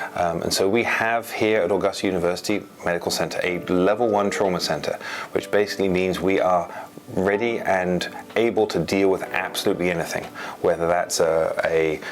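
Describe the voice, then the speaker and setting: Speaking with an English accent over noticeable background noise, a man with a fairly low voice talks at a fairly quick pace, with fairly even intonation and very even loudness. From England. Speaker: trauma surgeon. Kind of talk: interview. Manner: hesitant, many fillers.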